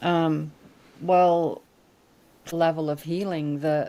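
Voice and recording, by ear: Slowly and with little pitch movement, a woman speaks in a low pitch and a dark, mellow tone.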